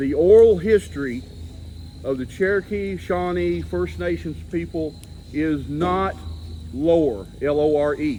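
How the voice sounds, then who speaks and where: Over audible room echo, a man at a medium pitch makes very wide pitch swings. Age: 60s. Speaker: Bigfoot researcher and author. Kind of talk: talk to a seated audience.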